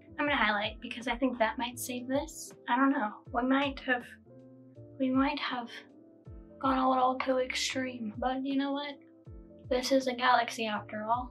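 A woman speaks in a high pitch at a moderate pace with long, frequent pauses. Her intonation is monotone and flat, with faint music in the background. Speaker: makeup vlogger. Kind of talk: casual makeup tutorial talk to camera. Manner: low-energy, monotone. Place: home room.

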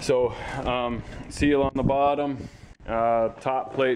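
A man talks in a monotone, flat intonation over light background noise. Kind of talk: tutorial. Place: garage.

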